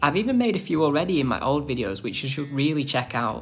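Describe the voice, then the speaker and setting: A man's fairly high voice with lively intonation, music in the background. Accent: Northern English. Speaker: fakemon artist and video creator. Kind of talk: scripted narration.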